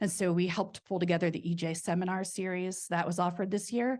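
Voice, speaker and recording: Against a quiet background, a woman talks at a fairly quick pace in a normal speaking voice with a fairly low pitch. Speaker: researcher. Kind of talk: conference presentation.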